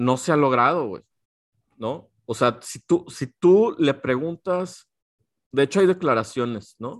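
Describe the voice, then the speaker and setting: With a Mexican accent, a man with fairly high pitch talks very slowly and with lively intonation, his sound dry and close with no echo on a very clean recording with a silent background. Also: big swings in loudness. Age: 40s. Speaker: podcast co-host. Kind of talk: casual chat.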